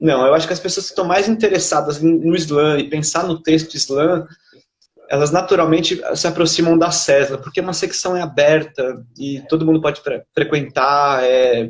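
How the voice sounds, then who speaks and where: With a normal speaking voice, a man keeps fairly even intonation, a fairly high pitch and a moderate pace. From Brazil, São Paulo. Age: 30s. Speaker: poet and literature researcher. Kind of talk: interview.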